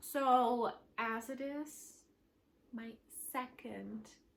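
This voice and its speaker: A woman's voice with noticeable background noise. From Switzerland. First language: German. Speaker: knitting podcaster. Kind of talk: casual chat. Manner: casual, many fillers.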